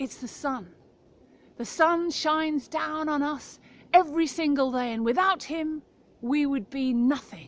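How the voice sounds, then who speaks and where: Using a put-on character voice, a woman speaks at a moderate pace with a high pitch. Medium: read story.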